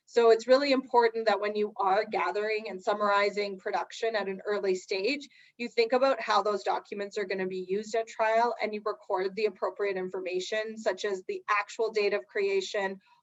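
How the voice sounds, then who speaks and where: A woman speaks at a fairly quick pace, her pitch medium. Her intonation stays fairly even. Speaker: lawyer. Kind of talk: webinar presentation on trial advocacy. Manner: fast.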